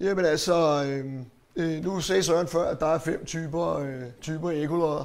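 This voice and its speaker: With audible room echo, a man speaks at a fairly high pitch. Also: fairly slow pace. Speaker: marine electronics specialist. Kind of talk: lecture. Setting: hall with audience. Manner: hesitant, many fillers.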